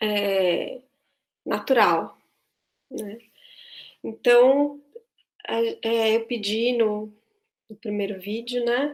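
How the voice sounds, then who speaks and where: Very slow and marked by long, frequent pauses, a woman's speech stays at a fairly high pitch. Her intonation is fairly even. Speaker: voice and choir teacher. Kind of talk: online tutorial. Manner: halting.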